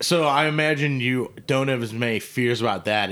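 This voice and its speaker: A man with a normal speaking voice at a moderate pace. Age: 30s. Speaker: podcast host. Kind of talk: casual chat. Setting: studio.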